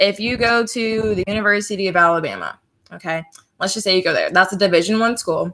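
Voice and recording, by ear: A woman's bright, sharp tone at medium pitch, with lively intonation and a moderate pace.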